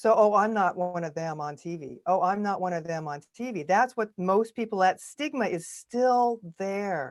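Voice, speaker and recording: An ordinary speaking voice from a woman, medium in pitch with lively intonation at a moderate pace, on a very clean recording with a silent background. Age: 60s. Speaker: actress and video coach. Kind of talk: podcast interview.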